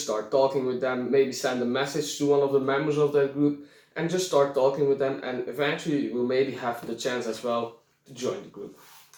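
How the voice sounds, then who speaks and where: This man has a fairly high pitch and talks at a moderate pace. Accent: non-native. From Belgium. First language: not English. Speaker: reenactment YouTuber. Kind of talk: tutorial. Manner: halting.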